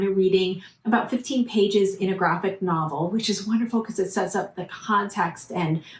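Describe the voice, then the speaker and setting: A woman at medium pitch speaks at a moderate pace, somewhat breathy. Her intonation stays fairly even. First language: Portuguese. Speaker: book reviewer. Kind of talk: casual vlog review. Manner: hesitant with many fillers.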